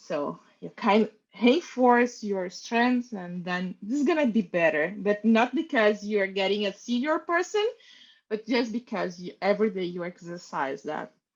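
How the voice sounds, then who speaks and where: With music in the background, a woman speaks fairly slowly at medium pitch with a non-native accent. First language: not English. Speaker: design team lead panellist. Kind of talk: panel discussion.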